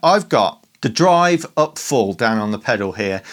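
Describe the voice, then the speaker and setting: In a Birmingham accent, a man talks with lively intonation. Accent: Birmingham (Brummie) English. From Birmingham, England. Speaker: guitar pedal demo youtuber. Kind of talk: casual gear demo talk. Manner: animated.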